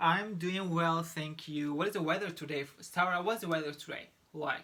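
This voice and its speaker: A man speaks at a moderate pace with a Turkish accent and a high pitch. His tone is bright and sharp, with ordinary pitch variation. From Turkey, Istanbul. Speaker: English pronunciation teacher. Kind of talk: tutorial. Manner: halting.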